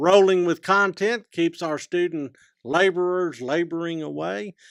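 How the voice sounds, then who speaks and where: A man with a Southwest Texas accent talks at a fairly slow pace in a high pitch with ordinary pitch variation. The recording is very clean, with a silent background and a dry, close sound with no echo. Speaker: professor and podcast co-host. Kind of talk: casual chat.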